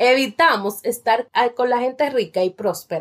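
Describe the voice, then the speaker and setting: Lively intonation carries speech that unfolds very slowly. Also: woman. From Dominican Republic, La Romana. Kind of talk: book review monologue.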